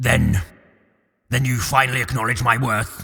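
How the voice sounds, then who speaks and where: A man's raspy, put-on character voice at medium pitch, delivered at a moderate pace. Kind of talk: audio drama. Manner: resentful, defensive.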